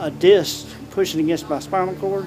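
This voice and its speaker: Over noticeable background noise and audible room echo, a man talks at a moderate pace with fairly even intonation. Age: 60s. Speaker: yoga student with polio. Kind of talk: testimony.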